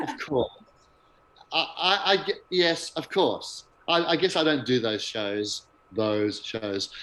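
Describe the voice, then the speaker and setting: Pausing long and often, a man speaks at a very slow pace with very wide pitch swings. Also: fairly high pitch for a man. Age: 60s. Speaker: music director. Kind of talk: interview.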